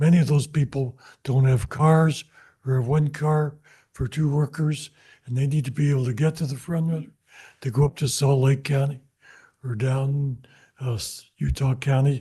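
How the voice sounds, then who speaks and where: A man speaks in a fairly high, somewhat breathy voice with a dark, mellow tone and flat, monotone intonation. He leaves long, frequent pauses against a quiet background. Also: moderate pace. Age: 80s+. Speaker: public commenter. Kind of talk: public comment at council meeting. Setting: city council meeting.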